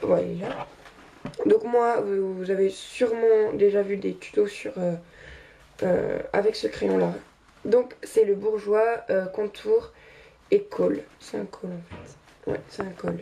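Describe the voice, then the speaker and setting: A woman at a very slow pace, with long, frequent pauses and big swings in loudness. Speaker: beauty youtuber. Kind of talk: makeup tutorial. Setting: bedroom. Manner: halting, many hesitations.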